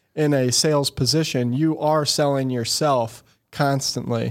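A man with a Missouri accent is heard in a very clean recording with a silent background. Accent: Midwestern American (Missouri). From Missouri, St. Louis area (Eureka). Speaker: entrepreneur, marketing agency CEO. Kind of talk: interview conversation. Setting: studio.

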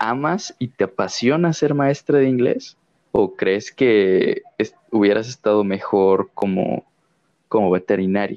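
Man's medium-pitched voice in a Mexican accent, very slow pace, lively intonation and very even loudness. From Mexico. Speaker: podcast co-host, visual artist. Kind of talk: casual chat.

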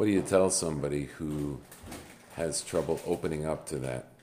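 The speech moves at a moderate pace with ordinary pitch variation, against noticeable background noise. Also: man. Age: 50s. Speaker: podcast host. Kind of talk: interview.

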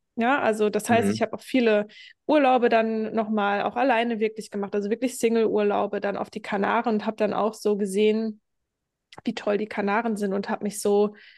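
Her pitch is fairly high, and her intonation stays monotone and flat. The woman keeps a moderate pace. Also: quiet background. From Germany. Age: 30s. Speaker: hypnosis and self-worth coach. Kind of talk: podcast interview.

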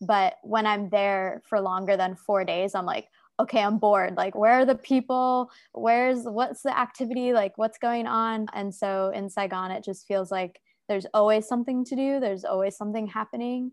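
Here a woman with an American accent has a normal speaking voice at a fairly high pitch. Her pace is moderate, her pitch varies in an ordinary way, and the background is quiet. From United States. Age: 20s. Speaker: content creator and health coach. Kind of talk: casual interview chat.

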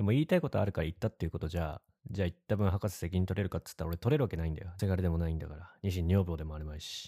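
The voice has a dark, mellow tone, sounds somewhat breathy, moves at a very fast pace and shows big swings in loudness. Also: man, dry, close sound with no echo, very clean recording, silent background. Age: 30s. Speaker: podcast co-host. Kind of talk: casual chat.

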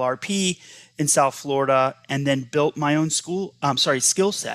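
On a very clean recording with a silent background, a man speaks at a fairly slow pace in a fairly high pitch. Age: 50s. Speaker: former school superintendent. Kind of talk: interview.

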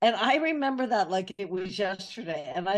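Over a quiet background, a woman speaks at a medium pitch and moderate pace with lively intonation. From US West Coast, Northern California. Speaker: author and messaging consultant. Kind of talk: casual interview. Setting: remote call.

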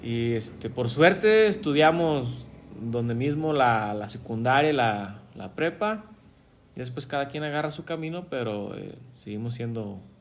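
With lively intonation and a medium pitch, a man speaks at a fairly slow pace, his loudness swinging widely amid audible room echo. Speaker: podcast co-host, engineer. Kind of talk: casual chat.

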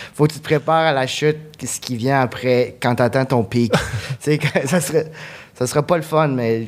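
A man's fairly high voice moves at a moderate pace with fairly even intonation and long, frequent pauses. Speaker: comedian. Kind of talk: comedy podcast jokes. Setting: stage with audience.

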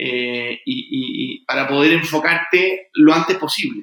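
A man with a Chilean accent speaks with fairly even intonation. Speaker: fintech founder and entrepreneur. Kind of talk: interview. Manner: halting with frequent repetitions.

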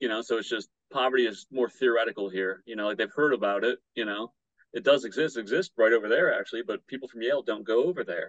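Very fast speech from a man, medium in pitch and ordinary in pitch variation. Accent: Midwestern American. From Michigan, Battle Creek. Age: 30s. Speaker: punk musician and public health student. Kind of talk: casual interview.

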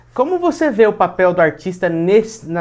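Dark and mellow in tone, a male voice keeps to a moderate tempo. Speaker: podcast host. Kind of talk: casual chat.

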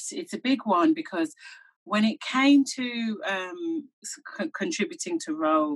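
Very wide pitch swings in a somewhat breathy voice. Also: woman. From England, Birmingham (Handsworth). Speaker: broadcaster and media co-founder. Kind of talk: interview.

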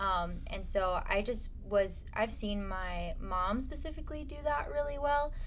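A woman speaks at a fairly slow pace with hardly any pauses, with noticeable background noise and audible room echo. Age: 20s. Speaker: pastor. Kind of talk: casual chat.

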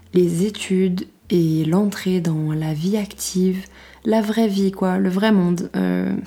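A woman speaks with a fairly low pitch. Her tone is dark and mellow, and her intonation is fairly even. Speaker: podcaster. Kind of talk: casual monologue. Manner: stammering.

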